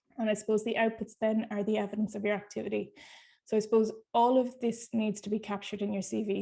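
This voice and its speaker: A woman's dark, mellow voice at medium pitch with an Irish accent, very fast and monotone with flat intonation, over a quiet background. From Ireland. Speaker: nurse researcher. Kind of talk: webinar talk.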